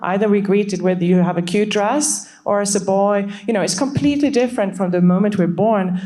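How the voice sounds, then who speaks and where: A woman with a Swedish accent talks at a fairly quick pace, with audible room echo and noticeable background noise. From Sweden. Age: 40s. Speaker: startup CEO. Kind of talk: panel discussion.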